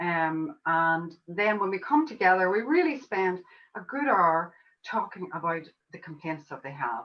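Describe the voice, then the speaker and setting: A woman speaks at a moderate pace with an Irish accent. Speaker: homeopath. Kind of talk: online summit interview.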